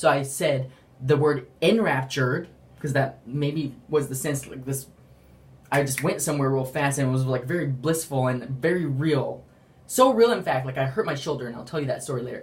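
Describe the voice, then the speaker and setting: A man talks in a fairly high, somewhat breathy voice with ordinary pitch variation. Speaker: religious vlogger. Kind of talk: testimony. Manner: fast; halting.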